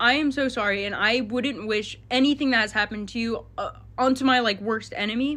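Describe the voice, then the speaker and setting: This woman has a high pitch, a bright, sharp tone and fairly even intonation, and she talks at a fairly quick pace. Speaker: content creator addressing online drama. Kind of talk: casual vlog rant to viewers. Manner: fast.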